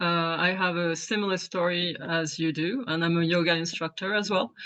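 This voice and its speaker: The speaker talks with a French accent, a fairly even intonation and a very even loudness. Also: woman, fairly low pitch for a woman, moderate pace. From France. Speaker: yoga instructor and aspiring author. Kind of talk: Q&A question. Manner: halting.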